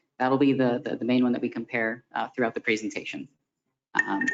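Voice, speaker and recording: With music in the background, a man talks at a fairly quick pace and a medium pitch. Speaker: consultant presenting a fee study. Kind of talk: formal presentation to city commission. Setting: city commission meeting room. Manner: soft-spoken; hesitant, many fillers.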